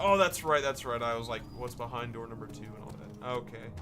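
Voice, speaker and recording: A man speaks while music plays in the background. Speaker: gaming youtuber. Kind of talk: let's play commentary. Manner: animated.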